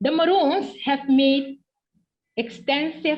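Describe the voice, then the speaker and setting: A woman speaks at a very slow pace. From Suriname. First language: Okanisi (Ndyuka Maroon creole). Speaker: professor of history. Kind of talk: academic presentation. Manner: formal.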